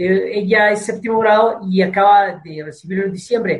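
Speaking with a Mexican accent, a man has a high pitch. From Mexico, Tepic (Nayarit). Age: 60s. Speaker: martial arts instructor. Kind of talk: interview. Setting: video call.

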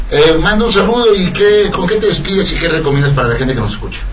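A man with a fairly high pitch talks at a very fast pace in an animated tone, his pitch swinging very widely. Audible room echo and noticeable background noise surround him. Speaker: radio host. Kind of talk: casual chat. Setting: radio studio.

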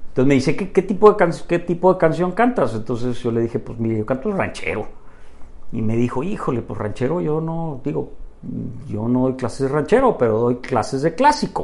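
Against noticeable background noise, a man talks at a fairly quick pace. His fairly high voice has lively intonation. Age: 50s. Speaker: businessman and amateur tenor. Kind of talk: casual interview chat. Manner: halting, many repetitions.

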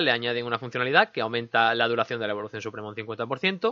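A man talks at a fairly quick pace with a slight Andalusian accent. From Andalusia, Linares (Jaén), Spain. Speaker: gaming podcast host. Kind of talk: casual chat; news reading. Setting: studio.

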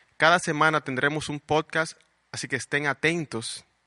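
With a bright, sharp tone and fairly high pitch, a man speaks at a moderate pace with fairly even intonation in a dry, close sound with no echo. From Dominican Republic, Puerto Plata. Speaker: podcast host, marketer. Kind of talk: scripted narration.

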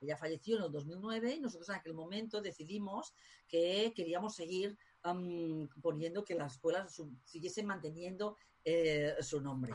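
A woman with a fairly low, somewhat breathy voice talks at a moderate pace, her pitch varying in an ordinary way. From Spain. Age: 50s. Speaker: tarot school director. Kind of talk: interview.

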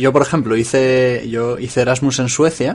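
A man with a plain, everyday voice speaks at a moderate pace, with a medium pitch and fairly even intonation. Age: 30s. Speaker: journalist, podcast co-host. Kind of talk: casual chat.

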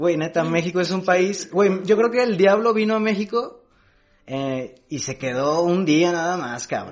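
A man with a Jalisco accent at a high pitch and a fairly slow pace, ordinary pitch variation, and music in the background. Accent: Mexican Spanish, Jalisco. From Mexico, Jalisco (Amatitán, Guadalajara). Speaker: stand-up comedian. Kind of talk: casual chat.

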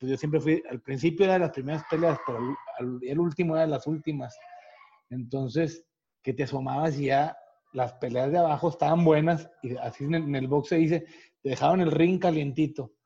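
In a dark, mellow tone that is somewhat breathy, the speaker moves at a fairly quick pace with fairly even intonation. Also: man, fairly high pitch for a man. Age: 40s. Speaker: retired boxer. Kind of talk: casual interview.

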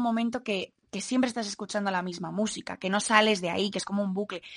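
A woman's medium-pitched, plain, everyday voice at a fairly quick pace, with fairly even intonation over a quiet background. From Madrid, Spain. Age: 20s. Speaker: singer-songwriter. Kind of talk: interview.

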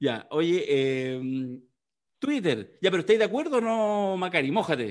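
With a Chilean accent, a man's high-pitched voice swings very widely in pitch at a fairly slow pace, its loudness very even. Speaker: podcast co-host. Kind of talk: casual political chat.

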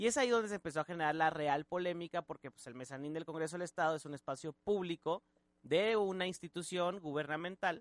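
Speaking very fast, a man with a high pitch and ordinary pitch variation swings widely in loudness, recorded dry and close with no echo. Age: 20s. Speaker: radio host. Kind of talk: casual chat. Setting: studio.

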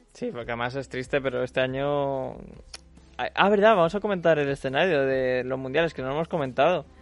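The speaker has a Spanish accent and a fairly quick pace. The pitch varies in an ordinary way. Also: man, fairly high pitch for a man. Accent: Peninsular Spanish. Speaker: radio host. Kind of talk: casual chat.

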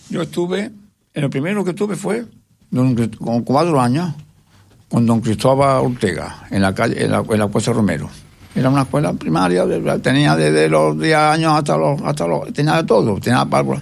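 Keeping his loudness very even, a man speaks at a moderate pace while his pitch swings very widely. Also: medium pitch for a man. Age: 80s+. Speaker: retired schoolteacher. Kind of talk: interview. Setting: radio studio. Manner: halting.

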